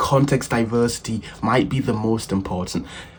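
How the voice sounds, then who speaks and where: There is noticeable background noise behind the speaker. A man talks at medium pitch with ordinary pitch variation. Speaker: self-improvement youtuber. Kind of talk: casual advice talk.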